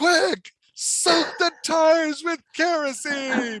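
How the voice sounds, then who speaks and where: In a put-on character voice, someone shouts loudly at a high pitch and a very slow pace. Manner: urgent, yelling commands.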